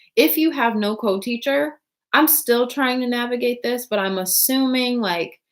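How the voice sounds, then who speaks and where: Lively intonation at a moderate pace in an American accent. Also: woman, high pitch for a woman. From United States. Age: 20s. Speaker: English teacher. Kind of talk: casual vlog talk. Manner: casual, hesitant with fillers.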